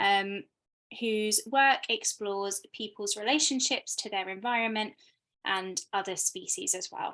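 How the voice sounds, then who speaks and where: A woman's fairly high-pitched, bright, sharp voice at a fairly slow pace, with a British accent. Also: ordinary pitch variation. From Britain. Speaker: arts producer, talk host. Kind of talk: hosting an online artist talk. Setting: video call.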